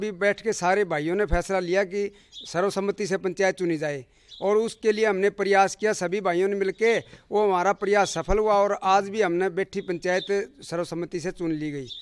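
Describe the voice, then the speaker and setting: A man with a high pitch speaks at a fairly slow pace, keeping his intonation fairly even. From Haryana. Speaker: villager. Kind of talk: interview. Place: street. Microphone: handheld.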